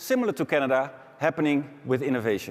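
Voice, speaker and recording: A man speaks with a Dutch accent. His pace is fairly quick. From Netherlands. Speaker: business executive. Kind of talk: conference keynote.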